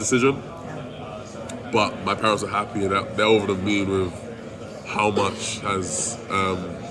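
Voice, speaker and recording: The speaker talks at a fairly slow pace with fairly even intonation. Noticeable background noise is present. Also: man. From London, England. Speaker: college football offensive lineman. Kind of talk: interview answer.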